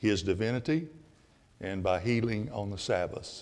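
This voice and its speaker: A man with an Alabama accent, fairly low in pitch and fairly slow, with audible room echo. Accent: Southern US (Alabama). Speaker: Bible class teacher. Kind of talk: Bible class lecture. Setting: church classroom with audience. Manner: louder than usual.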